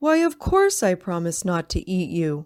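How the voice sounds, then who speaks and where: A woman uses a put-on character voice at medium pitch and a moderate pace. The recording is very clean, with a silent background. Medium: read story.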